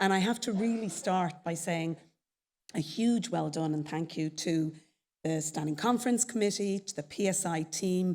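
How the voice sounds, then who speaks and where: A woman with an Irish accent at a moderate pace. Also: medium pitch for a woman, ordinary pitch variation. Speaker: chief executive of a professional society. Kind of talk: conference presentation. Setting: stage with audience at a conference.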